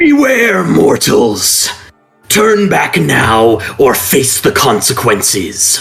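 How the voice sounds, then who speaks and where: Booming and loud, a man at medium pitch does a put-on character voice at a very slow pace, with faint music in the background. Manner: threatening.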